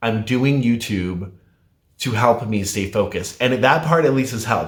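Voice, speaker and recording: A somewhat breathy, medium-pitched man with ordinary pitch variation, on a very clean recording with a silent background. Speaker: weight loss vlogger. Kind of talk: casual vlog talk.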